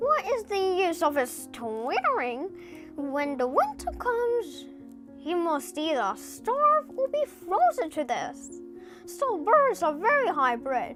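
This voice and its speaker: With clear music in the background, a woman does a put-on character voice at an extremely high pitch and a fairly slow pace. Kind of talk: bedtime story. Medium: read story. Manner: motherly, chatty.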